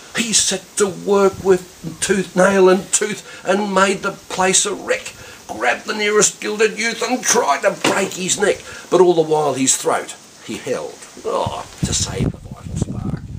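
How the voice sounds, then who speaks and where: There is noticeable background noise as a man with a high pitch speaks fairly slowly, his pitch varying in an ordinary way. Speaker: poetry reciter. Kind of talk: poetry reading.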